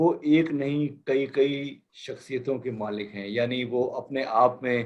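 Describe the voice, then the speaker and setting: Fairly even intonation in a man's medium-pitched voice, a plain, everyday voice. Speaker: talk show host interviewing guests. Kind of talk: interview host introduction.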